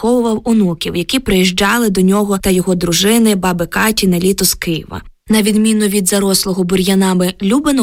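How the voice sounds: A natural reading voice carries the clip.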